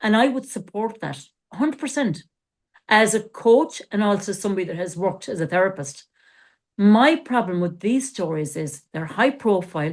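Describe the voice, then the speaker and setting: This woman has a medium pitch. Her voice moves through very wide pitch swings. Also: moderate pace. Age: 60s. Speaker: life coach and former therapist. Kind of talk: podcast discussion.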